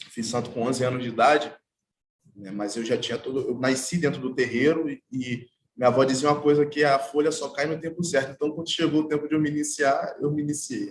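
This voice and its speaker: A man's fairly high, somewhat breathy voice with big swings in loudness. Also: ordinary pitch variation. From Brazil, Baixada Fluminense, Rio de Janeiro state. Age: 30s. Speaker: artwork installer and percussionist. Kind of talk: panel talk. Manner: halting.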